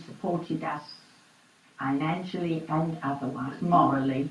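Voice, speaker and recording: Through audible room echo and noticeable background noise, a woman speaks at a fairly slow pace. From East London. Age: 80s+. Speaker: oral history interviewee. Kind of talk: oral history interview.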